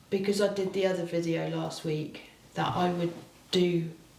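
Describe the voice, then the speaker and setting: A woman's voice in audible room echo, with noticeable background noise. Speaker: craft video host. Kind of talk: casual craft tutorial chat. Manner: halting, with false starts.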